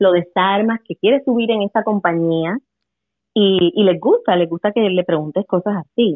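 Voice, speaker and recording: A woman of medium pitch uses an ordinary speaking voice, moving at a moderate pace with ordinary pitch variation. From Puerto Rico. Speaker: English teacher. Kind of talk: casual chat.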